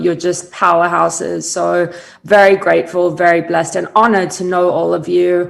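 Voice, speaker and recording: A woman's fairly low voice with a slight South African accent and fairly even intonation. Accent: slight South African accent, noted by herself. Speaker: brand strategist. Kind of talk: interview on a virtual summit. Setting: video call.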